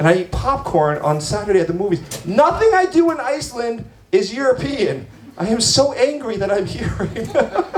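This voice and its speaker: Amid noticeable background noise and audible room echo, a man with an American accent talks at a moderate pace in an animated tone, his extremely high pitch swinging very widely. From United States. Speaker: stand-up comedian and show emcee. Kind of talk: stand-up with crowd work. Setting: bar stage with live audience.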